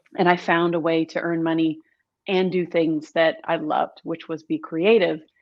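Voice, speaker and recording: Speaking at a fairly slow pace, a woman with an American accent uses a normal speaking voice at a fairly low pitch. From US, Southern California and rural Missouri. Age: 40s. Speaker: brand storytelling and marketing expert. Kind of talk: podcast interview.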